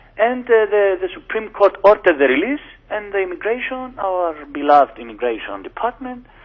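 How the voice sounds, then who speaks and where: The speech moves at a fairly quick pace, with very wide pitch swings. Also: man, high pitch for a man. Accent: Greek. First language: Greek. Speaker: lawyer. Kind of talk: radio interview. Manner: halting.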